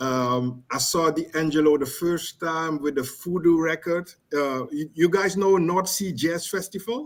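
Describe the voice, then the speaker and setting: Speaking at a fairly slow pace with hardly any pauses, a man keeps a fairly high pitch with ordinary variation. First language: not English. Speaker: caller. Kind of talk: casual chat. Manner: halting.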